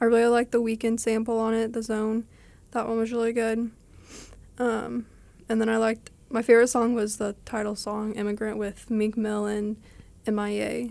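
In an American accent, a woman speaks at a moderate pace with a fairly high pitch and a dark, mellow tone. Her intonation is monotone and flat, with long, frequent pauses. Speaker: art student. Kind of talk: casual chat.

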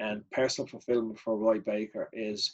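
In a Dublin accent, a man talks at a moderate pace. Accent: Dublin Irish. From Ireland. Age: 50s. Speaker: martial arts organiser. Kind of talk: casual chat.

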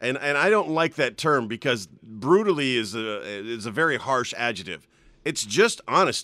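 Loud speech from a man at medium pitch, bright and sharp in tone, with very wide pitch swings on a very clean recording with a silent background. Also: moderate pace. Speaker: radio host. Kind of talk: casual banter, morning radio show. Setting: studio with headphones. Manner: loud, overcompensates because hard of hearing.

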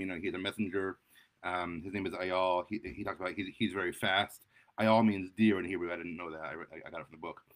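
His pitch variation is ordinary. The man talks at a fairly quick pace. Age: 30s. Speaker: writing podcast host. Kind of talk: book review monologue. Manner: halting, many fillers and repeated words.

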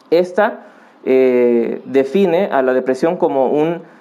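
This man has a fairly high pitch and a dark, mellow tone, with ordinary variation in his pitch. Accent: Mexican. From Mexico, Acapulco (Guerrero). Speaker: psychologist and family counselor. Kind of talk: podcast interview. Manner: halting, frequent fillers.

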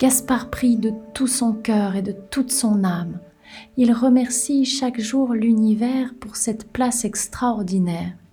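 A woman talks at a very slow pace with fairly even intonation and a calm, warm tone. Noticeable background noise sits behind her. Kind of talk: hypnotic bedtime storytelling for children, narrated tale. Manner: slow, soothing, gently paced with pauses and suspense; calm, warm, intimate, speaking directly to the child.

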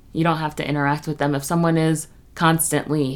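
This woman has an unremarkable speaking voice with a fairly low pitch. Her intonation is fairly even. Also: very clean recording, silent background. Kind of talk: guided meditation. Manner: slow, soft, calming, with gentle pauses.

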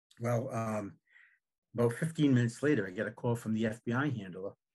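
Over a quiet background, a man speaks at a moderate pace and medium pitch. He sounds somewhat breathy, with ordinary pitch variation. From Rhode Island, North Providence. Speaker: author and former town councilman. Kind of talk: interview storytelling.

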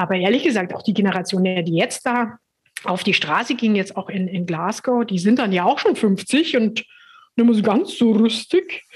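A somewhat breathy woman talks at a moderate pace with ordinary pitch variation. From Upper Bavaria, Germany. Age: 50s. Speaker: communications consultant. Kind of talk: interview. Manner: hesitant, many fillers.

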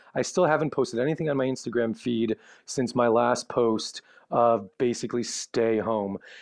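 A man's normal speaking voice at a medium pitch and moderate pace, with ordinary pitch variation, very even loudness and a dry, close sound with no echo against a quiet background. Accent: American. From Chicago, US Midwest. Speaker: travel blogger. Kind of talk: casual interview.

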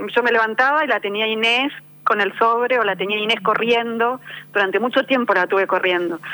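Her Rioplatense accent comes through as a woman speaks fairly quickly at a fairly high pitch with ordinary pitch variation. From Argentina. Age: 50. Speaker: novelist. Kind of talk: interview. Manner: halting.

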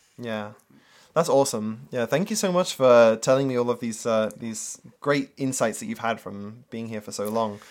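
On a very clean recording with a silent background, a man speaks at medium pitch. His pace is moderate and his pitch varies in an ordinary way. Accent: British. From UK. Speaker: marketer and former English teacher. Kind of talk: casual interview chat.

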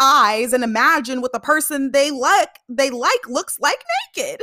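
Raised and projected, a woman's high-pitched voice sounds animated, with a bright, sharp tone. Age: 20s. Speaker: podcast host. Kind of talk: casual chat.

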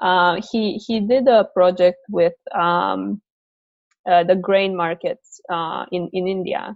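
A woman with a Romanian accent speaks very slowly at medium pitch, her intonation fairly even, with long, frequent pauses. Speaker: PhD researcher in operations research. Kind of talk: interview conversation. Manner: halting, many repetitions and fillers.

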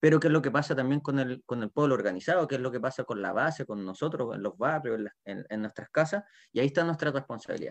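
Over a quiet background, a man talks at a very fast pace and a medium pitch with ordinary pitch variation, in a dry, close sound with no echo. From southern Chile, Puerto Montt. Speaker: teacher and community activist. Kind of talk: panel discussion. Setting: video call. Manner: halting, repeats words.

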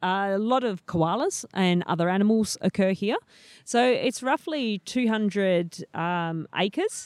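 A woman with an Australian accent and ordinary pitch variation, on a very clean recording with a silent background and a dry, close sound with no echo. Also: medium pitch for a woman, fairly slow pace. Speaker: PhD student in snake ecology. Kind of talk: casual interview. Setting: outdoors in a wildlife sanctuary.

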